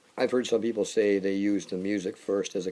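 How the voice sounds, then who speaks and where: Here a man talks at a moderate pace. His dark, mellow tone sits at a very deep, low pitch. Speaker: singer-songwriter. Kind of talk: casual monologue. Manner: halting.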